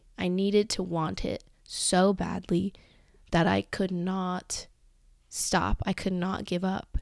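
This woman talks at a fairly slow pace, her intonation monotone and flat. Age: 20s. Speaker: podcast host. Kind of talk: casual solo monologue.

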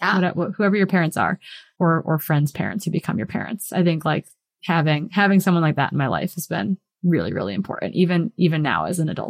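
Vocal fry in a woman's fairly low voice at a very fast pace, with ordinary pitch variation and a dry, close sound without echo. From Wisconsin, US Midwest. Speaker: professional trail runner and coach. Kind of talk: interview conversation.

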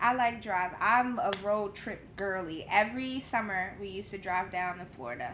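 An ordinary speaking voice at a moderate pace, with big swings in loudness, ordinary pitch variation and hardly any pauses. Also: woman, medium pitch for a woman. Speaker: podcast guest. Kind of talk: casual chat.

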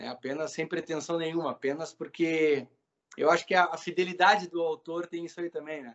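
A man with a normal speaking voice talks at a fairly quick pace in a fairly high pitch, his intonation fairly even but his loudness swinging widely. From southern Brazil, Pelotas. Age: 40s. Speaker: instrumental musician. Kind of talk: casual chat.

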